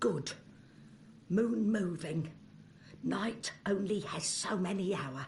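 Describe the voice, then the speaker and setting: Over clear background noise, a put-on character voice at middle pitch moves at a very slow pace with long, frequent pauses. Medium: video game. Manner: broken grammar, clipped and contemptuous.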